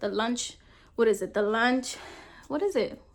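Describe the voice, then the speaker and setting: At a moderate pace, the voice comes through in a very clean recording with a silent background. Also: woman. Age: adult. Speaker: vlogger. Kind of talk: casual storytime vlog. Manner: animated, conversational.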